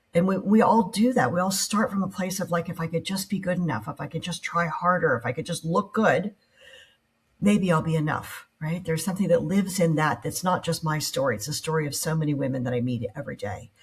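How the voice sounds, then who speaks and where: At a fairly quick pace, a woman speaks with lively intonation. Her voice is fairly low in pitch and somewhat breathy. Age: 60s. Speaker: entrepreneur. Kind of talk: interview conversation.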